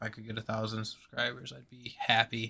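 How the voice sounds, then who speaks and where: A man's medium-pitched voice, bright and sharp in tone, at a moderate pace. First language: not English. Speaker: gaming streamer. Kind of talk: live stream commentary. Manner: halting, many fillers.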